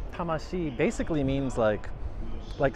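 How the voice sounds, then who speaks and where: There is noticeable background noise, though the sound is dry with no echo. The man speaking has ordinary pitch variation. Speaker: travel vlogger. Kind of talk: casual vlog chat. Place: street. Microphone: phone near.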